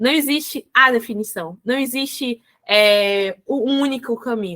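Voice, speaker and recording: On a very clean recording with a silent background, a woman raises and projects her voice at a high pitch, her tone bright and sharp, the sound dry and close with no echo. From Salvador, Bahia, Brazil. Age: 20s. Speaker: educator and business organization consultant. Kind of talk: podcast interview.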